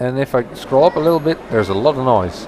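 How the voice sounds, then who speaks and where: Over noticeable background noise, a man talks at a fairly quick pace. He has a Dutch accent and a medium pitch. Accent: non-native English, Dutch. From Netherlands. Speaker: gaming YouTuber. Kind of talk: let's play commentary. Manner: halting, many fillers and restarts.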